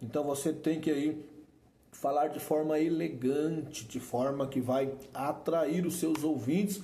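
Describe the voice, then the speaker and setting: A man with a Brazilian accent, fairly high in pitch, with audible room echo. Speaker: preaching teacher. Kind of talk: lecture. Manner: informal and repetitive.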